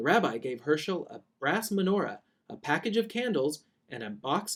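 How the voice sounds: Over a quiet background, a natural reading voice carries lively intonation.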